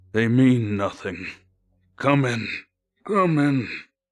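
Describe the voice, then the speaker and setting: Using a put-on character voice, a man talks at a medium pitch and a very slow pace. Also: quiet background. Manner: scolding, impatient.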